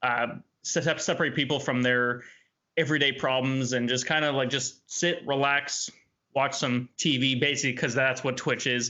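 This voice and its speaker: A man's medium-pitched voice, monotone and flat, at a moderate pace. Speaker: Twitch streamer. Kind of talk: interview. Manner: halting, repeated words.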